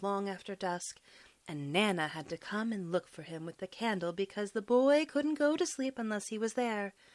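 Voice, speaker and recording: A plain, everyday voice: a woman at medium pitch and a moderate pace. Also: very clean recording, silent background. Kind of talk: audiobook bedtime story reading.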